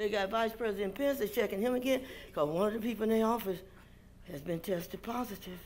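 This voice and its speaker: A woman with an animated tone, fairly high pitch, vocal fry and a very fast pace, over light background noise. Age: 70s. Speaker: preacher. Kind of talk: sermon. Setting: church. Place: church.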